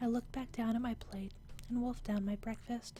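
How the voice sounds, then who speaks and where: The speaker is soft-spoken, with ordinary pitch variation and a moderate pace, and music plays in the background. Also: woman. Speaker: gaming channel host. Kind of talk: quiet ASMR reading of a game's story. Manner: quiet, soft-spoken.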